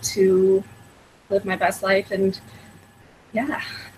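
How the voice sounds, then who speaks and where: A woman with a General American accent speaks at a medium pitch against noticeable background noise. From Colorado, US. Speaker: panelist. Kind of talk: panel discussion.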